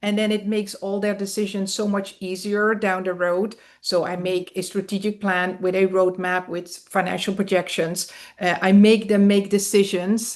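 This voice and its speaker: Against a quiet background, a woman with a European accent speaks at a medium pitch and moderate pace in a monotone, flat way. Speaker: business consultant. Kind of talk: interview.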